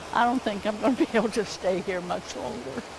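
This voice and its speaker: A woman speaks at a moderate pace, and noticeable background noise is heard. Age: 80s+. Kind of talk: interview answer.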